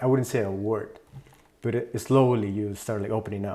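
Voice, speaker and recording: With a Spanish accent, a man of medium pitch talks at a moderate pace with ordinary pitch variation. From Mexico City, moved to California at ten. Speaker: music producer. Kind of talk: interview.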